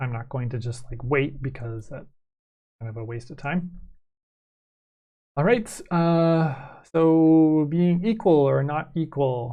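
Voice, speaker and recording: In a room with audible echo, a man talks very slowly with long, frequent pauses, his voice somewhat breathy and fairly high in pitch. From Canada. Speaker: math teacher. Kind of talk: lecture. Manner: hesitant, many fillers.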